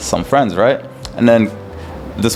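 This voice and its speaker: With music playing behind him, a man with an American accent speaks at a medium pitch. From Qatar, Sudanese family. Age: 30s. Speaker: entrepreneur. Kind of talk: casual chat.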